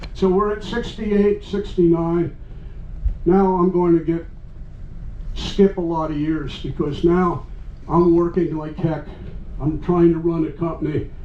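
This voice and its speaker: Amid noticeable background noise and audible room echo, a man with a high voice speaks at a fairly slow pace with fairly even intonation, leaving long, frequent pauses. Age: 80s+. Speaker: retired computer professional. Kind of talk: talk to a live audience. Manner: rambling, extemporaneous.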